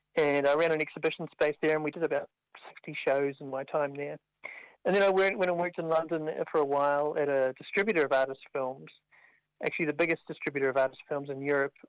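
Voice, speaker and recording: With a dry, close sound and no echo, a man speaks at a very fast pace with fairly even intonation. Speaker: arts agency director. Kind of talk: interview.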